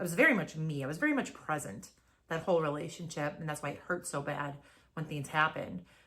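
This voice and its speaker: A loud, animated voice with a bright, sharp tone, ordinary pitch variation and a very fast pace. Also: woman, very deep, low pitch for a woman. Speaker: podcast co-host. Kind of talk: casual chat.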